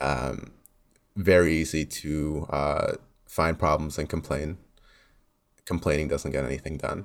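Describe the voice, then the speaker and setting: With a Canadian accent, a man speaks at a very deep, low pitch with vocal fry, keeping a fairly slow pace, fairly even intonation and long, frequent pauses. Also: very clean recording, silent background. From Canada, Mississauga. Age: 20s. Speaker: university student, campus council candidate. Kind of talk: interview.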